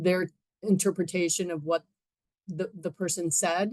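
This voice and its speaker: A woman's fairly low voice, monotone and flat, with a dry sound with no echo against a quiet background. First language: Spanish. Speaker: audience member asking a question; audience member. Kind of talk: Q&A discussion. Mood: polite, thoughtful. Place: home room.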